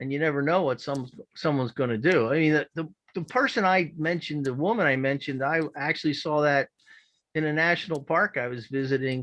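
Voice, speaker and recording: A man with a Philadelphia accent speaks at a fairly high pitch and a fairly quick pace against a quiet background. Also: ordinary pitch variation. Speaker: public meeting participant. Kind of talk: public comment. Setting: video call.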